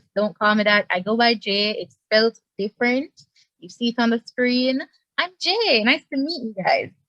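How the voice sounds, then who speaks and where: A woman's fairly high, plain, everyday voice, moderate in pace, with ordinary pitch variation. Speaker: student club executive. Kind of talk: casual self-introduction.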